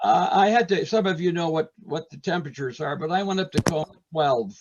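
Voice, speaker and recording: With an American accent, a man speaks in a high voice at a fairly quick pace. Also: ordinary pitch variation. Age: 80s+. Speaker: retired art teacher and potter. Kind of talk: casual interview. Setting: video call, audio only. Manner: animated storytelling.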